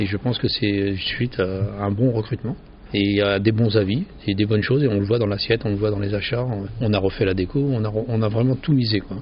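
The speaker moves at a fairly quick pace. The voice is somewhat breathy, with fairly even intonation. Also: man. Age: 50s. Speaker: pizzeria owner. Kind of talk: interview. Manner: halting.

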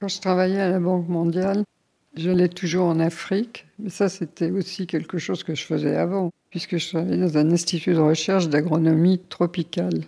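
A woman talks at a moderate pace with a fairly low pitch. Her tone is dark and mellow, and her intonation is monotone and flat. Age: old. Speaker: retired interviewee. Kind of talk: personal storytelling. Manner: halting.

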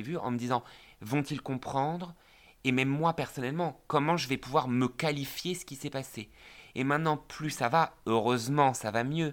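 This man has a normal speaking voice at a medium pitch. He moves at a moderate pace with ordinary pitch variation. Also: very clean recording, silent background. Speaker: podcast co-host. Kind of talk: podcast interview.

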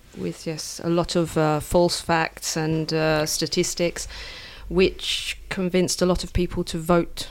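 A woman in an English accent speaks fairly low and fairly slowly with monotone, flat intonation. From England. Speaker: English teacher. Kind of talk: interview.

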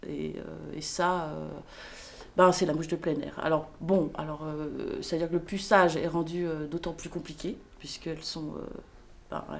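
Speaking fairly slowly, a woman uses a fairly low pitch and a monotone, flat intonation. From Paris. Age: 30s. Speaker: fly farmer. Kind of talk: casual interview.

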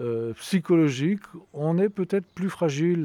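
A man speaks in a dark, mellow tone with lively intonation. The sound is dry and close, with no echo. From Savoie, France. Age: 70s. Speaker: retired winegrower. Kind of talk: interview. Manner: halting.

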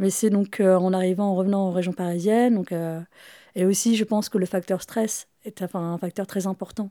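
A dark, mellow tone with fairly even intonation comes through a very clean recording with a silent background. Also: woman, dry, close sound with no echo. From Paris region, France. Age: 40s. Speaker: guest with chronic illness. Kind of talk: intimate conversation. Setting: home.

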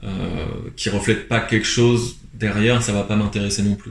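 Speaking at a moderate pace, a man delivers fairly low-pitched lines in a monotone, flat intonation. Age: 20s. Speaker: photographer. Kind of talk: interview. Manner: hesitant, many fillers.

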